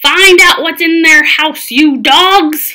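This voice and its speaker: Someone puts on a character voice that is gruff and growling. It bellows at a very slow pace. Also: woman. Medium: read story. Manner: gruff pirate talk, loud.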